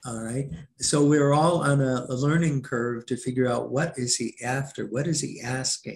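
A somewhat breathy man at a moderate pace with fairly even intonation. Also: medium pitch for a man. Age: 70s. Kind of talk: interview.

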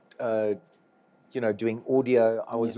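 His voice is medium in pitch, and the man's tone is dark and mellow. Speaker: live sound engineer. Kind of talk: interview.

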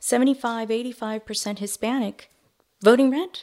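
A woman with an American accent has an unremarkable speaking voice, fairly high with ordinary pitch variation. The recording is very clean with a silent background. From Miami, Florida. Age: 40s. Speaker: community political organizer. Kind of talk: interview.

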